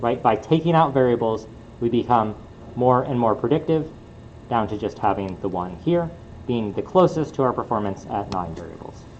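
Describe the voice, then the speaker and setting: A man's medium-pitched voice with lively intonation and audible room echo. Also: moderate pace. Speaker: university lecturer. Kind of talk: lecture. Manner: hesitant, many fillers.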